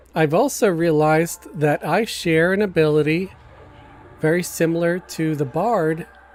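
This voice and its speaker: Music plays behind a man who talks at a moderate pace in a high pitch. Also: ordinary pitch variation. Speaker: gaming streamer. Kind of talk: live stream gameplay chat. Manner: hesitant, with fillers.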